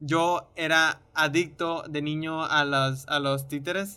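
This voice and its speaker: This man's high-pitched voice has a bright, sharp tone and fairly even intonation. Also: very clean recording, silent background. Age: 20s. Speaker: podcast co-host, film commentator. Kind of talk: casual chat.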